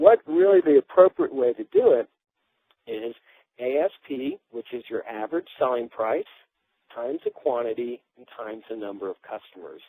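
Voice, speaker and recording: A man speaks with long, frequent pauses. His loudness swings widely. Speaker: business webinar presenter. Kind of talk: webinar lecture. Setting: phone-in webinar. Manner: fast.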